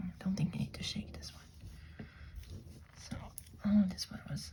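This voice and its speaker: The speaker whispers at a moderate pace. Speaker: ASMR creator. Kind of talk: ASMR nail polish haul and manicure. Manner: whispered.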